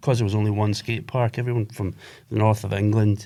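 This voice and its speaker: A man speaks in a Glaswegian accent at a fairly low pitch. His intonation is fairly even, on a very clean recording with a silent background. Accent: Glaswegian Scottish. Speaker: skate shop owner. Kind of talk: casual chat.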